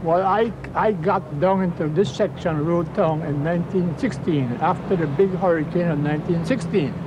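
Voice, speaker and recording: This man's voice is high for a man, moves at a moderate pace with hardly any pauses and ordinary pitch variation, and has noticeable background noise behind it. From British Virgin Islands. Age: 80s+. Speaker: retired politician. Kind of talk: interview.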